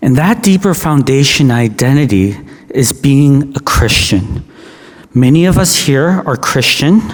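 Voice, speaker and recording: With a Canadian accent, a man talks at a fairly slow pace in a fairly high pitch, his intonation lively and his loudness very even, over noticeable background noise. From Canada. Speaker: pastor. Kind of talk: sermon. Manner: halting.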